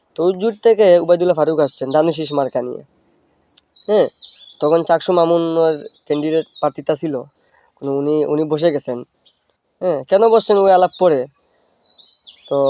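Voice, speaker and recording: Recorded dry and close with no echo, a man talks in a fairly high pitch with ordinary pitch variation. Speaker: political vlogger. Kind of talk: casual political monologue. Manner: animated.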